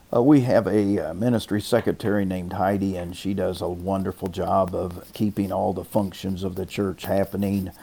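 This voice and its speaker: The voice has a dark, mellow tone and fairly even intonation, moving at a moderate pace with hardly any pauses. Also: man, fairly low pitch for a man. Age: 60s. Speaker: pastor. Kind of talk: interview.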